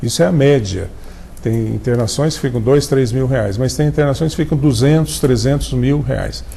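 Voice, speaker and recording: A man talks at a moderate pace and medium pitch with ordinary pitch variation. Audible room echo and noticeable background noise are present. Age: 70s. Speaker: doctor and health cooperative president. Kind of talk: TV interview. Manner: halting.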